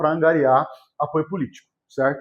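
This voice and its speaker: A man talks at a fairly quick pace. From Vale do Paraíba, São Paulo state, Brazil (São José dos Campos). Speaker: teacher. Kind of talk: lecture.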